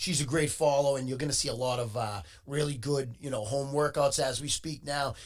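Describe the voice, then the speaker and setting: A man with a fairly high, somewhat breathy voice moves along at a fairly quick pace. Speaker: podcast host. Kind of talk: podcast host talk. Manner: upbeat.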